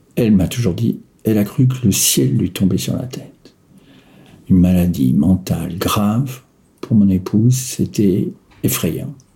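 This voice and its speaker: Over noticeable background noise, a man with a fairly low pitch speaks at a fairly slow pace, with very wide pitch swings and long, frequent pauses. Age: 60s. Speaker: retiree living with bipolar disorder. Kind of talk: personal testimony. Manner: halting, with frequent hesitations.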